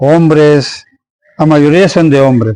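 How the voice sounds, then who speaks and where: A man's fairly high voice at a fairly slow pace, with fairly even intonation. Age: 60s. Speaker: local tradition bearer and former tomb excavator. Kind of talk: interview. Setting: interviewee's home.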